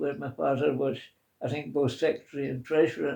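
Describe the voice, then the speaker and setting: A man with a Scottish accent and a fairly high pitch speaks in a dark, mellow tone with fairly even intonation. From Scotland. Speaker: interviewee. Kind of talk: oral history interview.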